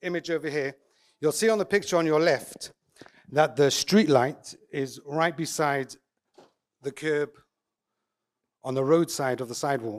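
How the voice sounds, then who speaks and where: A man with an English accent talks at a moderate pace, leaving long, frequent pauses. His pitch is fairly high, with ordinary variation. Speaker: eruv coordinator and contractor. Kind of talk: conference talk. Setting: conference with audience.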